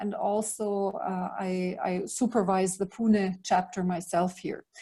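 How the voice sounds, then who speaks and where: A woman talks in a somewhat breathy voice. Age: 50s. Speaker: leadership mentor. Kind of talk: online talk.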